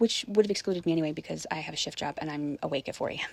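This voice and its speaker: A woman speaks very fast in a very deep, low voice with vocal fry. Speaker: spiritual vlogger. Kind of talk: personal testimony monologue.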